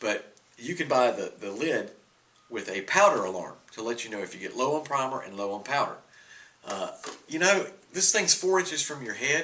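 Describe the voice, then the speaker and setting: A man with a fairly high pitch speaks with very wide pitch swings and big swings in loudness, leaving long, frequent pauses. Noticeable background noise sits behind him. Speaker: firearms reloading reviewer. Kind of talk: product review and demonstration. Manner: casual, hesitant with fillers; slow for the demonstration.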